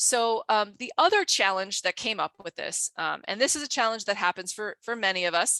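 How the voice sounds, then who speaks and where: Against a quiet background, a woman talks with lively intonation and hardly any pauses. Her pitch is fairly high. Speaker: geoscience education researcher. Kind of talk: conference talk. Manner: fast.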